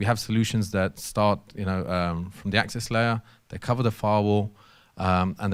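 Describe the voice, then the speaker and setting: A man with a London accent speaks at a fairly quick pace, his pitch fairly low and his intonation fairly even. The recording is very clean, with a silent background. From London, England. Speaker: technology company systems engineer presenter. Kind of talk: technical workshop presentation. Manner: fast; hesitant with fillers and repetitions.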